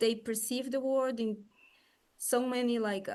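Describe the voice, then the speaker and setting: A woman speaks with a Brazilian Portuguese accent at a moderate pace. Her intonation is monotone and flat. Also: quiet background. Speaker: psychologist and coach. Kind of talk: interview. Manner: halting, many fillers.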